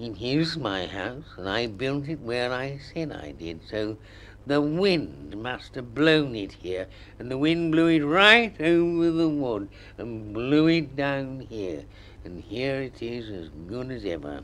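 Over clear background noise, a man does a put-on character voice at a medium pitch and a fairly slow pace. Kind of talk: children's story reading. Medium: read story. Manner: melancholy, slow, dryly sarcastic. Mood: grudgingly pleased.

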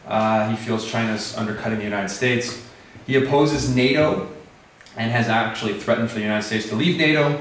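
With an American accent, a man talks at a very fast pace in a medium pitch with ordinary pitch variation and long, frequent pauses, amid light background noise and audible room echo. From USA. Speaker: English teacher, Fulbright fellow. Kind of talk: lecture. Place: classroom. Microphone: camera far.

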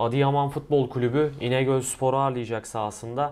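A man speaks at a moderate pace with a medium pitch and fairly even intonation. It is an unremarkable speaking voice. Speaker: football channel host. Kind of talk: sports preview discussion. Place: office. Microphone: lapel.

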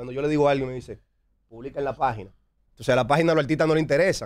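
Here a man speaks in a fairly high pitch. His pitch variation is ordinary. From Dominican Republic, San Pedro de Macorís; Dominican Republic. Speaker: music producer and label founder; interview guest. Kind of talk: interview. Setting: studio. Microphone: studio mic.

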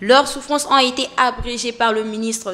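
Here a woman speaks in a fairly high pitch. Her intonation stays fairly even. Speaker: news anchor. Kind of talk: news reading. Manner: formal; steady, measured newsreader delivery. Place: studio. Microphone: studio mic.

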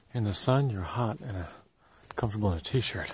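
A man talks at a fairly quick pace, somewhat breathy and fairly low in pitch. Light background noise sits behind him. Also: dry sound with no echo. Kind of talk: casual vlog chat. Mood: relaxed, amused. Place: open country. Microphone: phone near.

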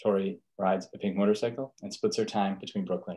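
Against a quiet background, a man talks at a fairly quick pace with a fairly low voice and ordinary pitch variation. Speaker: program director host. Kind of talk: event introduction. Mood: warm, welcoming. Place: home room. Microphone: video call.

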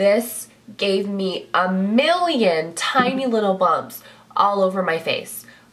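A woman speaking at a fairly slow pace, with noticeable background noise. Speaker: beauty vlogger. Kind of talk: casual talk to camera. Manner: chatty, animated.

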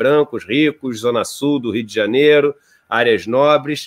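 A man's speech, with ordinary pitch variation, comes at a moderate pace over a quiet background. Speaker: interview guest. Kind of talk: interview answer. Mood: calm, reflective. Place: home room. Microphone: earbuds.

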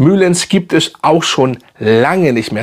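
A man talks at a fairly slow pace, his pitch swinging very widely. The background is quiet. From Hamburg, northern Germany; Germany. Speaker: fragrance YouTuber. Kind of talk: casual product review video. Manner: casual, halting with many fillers. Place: home room.

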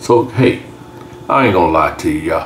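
Light background noise sits under the speech. The speaker is a man. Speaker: home cook channel host. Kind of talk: casual cooking tutorial. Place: kitchen.

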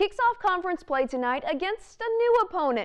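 An American accent marks this woman's energetic tone. Her pitch swings very widely. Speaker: sports director and TV sports reporter. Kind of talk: TV sports broadcast reporting and anchoring. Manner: energetic, newscaster delivery.

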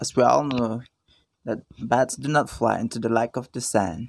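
Speaking fairly slowly, the man lets his pitch rise and fall in an ordinary way. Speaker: vlogger. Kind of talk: casual vlog narration. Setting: outdoors. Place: garden. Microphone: phone near.

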